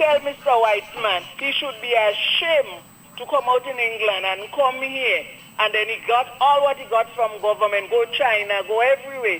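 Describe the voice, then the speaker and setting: A woman with a Grenadian accent speaks at a moderate pace with a fairly high pitch. Her pitch varies in an ordinary way, and there is noticeable background noise. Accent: Grenadian Creole English. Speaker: caller. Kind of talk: call-in radio talk. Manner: heated, indignant.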